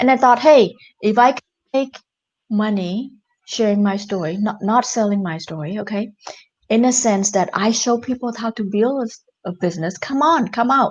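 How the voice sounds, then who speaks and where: A woman speaks in a fairly high, somewhat breathy voice. She keeps a moderate pace with lively intonation. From Cambodia. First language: Khmer. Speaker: entrepreneur and author. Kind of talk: interview.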